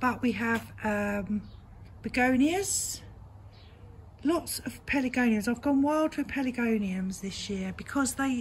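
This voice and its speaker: A woman speaks in an English accent with a relaxed tone and a high pitch. Her pace is fairly slow, and her pitch varies in an ordinary way. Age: 60s. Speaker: gardening vlogger. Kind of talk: casual garden tour vlog. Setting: outdoors in her garden. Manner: chatty, relaxed.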